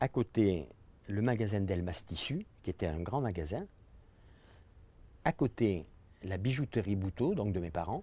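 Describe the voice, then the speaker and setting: A man speaks with a fairly low pitch, a dark, mellow tone, lively intonation and a somewhat breathy quality. The recording is very clean, with a silent background. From France, Dordogne (Terrasson). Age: 70s. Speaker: local resident recalling the past. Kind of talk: interview reminiscence.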